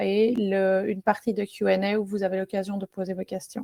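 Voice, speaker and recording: A woman speaks with a strong Belgian accent, her voice sounding dry and close with no echo. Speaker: software product manager. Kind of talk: webinar presentation. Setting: online webinar. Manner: hesitant, many fillers.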